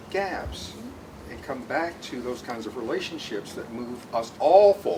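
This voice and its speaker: A man's medium-pitched voice at a fairly slow pace, with very wide pitch swings, big swings in loudness, audible room echo and noticeable background noise. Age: 60s. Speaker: audience member. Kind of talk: audience question.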